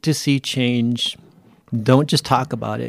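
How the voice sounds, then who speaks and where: A man with an ordinary speaking voice talks at a fairly slow pace with fairly even intonation, in a dry, close sound with no echo. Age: 50s. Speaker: political candidate. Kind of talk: interview.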